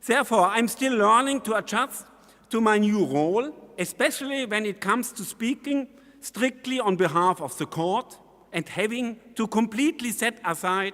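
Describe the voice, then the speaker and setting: This man's voice is high-pitched, with a German accent, lively intonation, a moderate pace and long, frequent pauses. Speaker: constitutional court judge. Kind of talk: conference speech. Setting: conference hall with audience. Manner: formal.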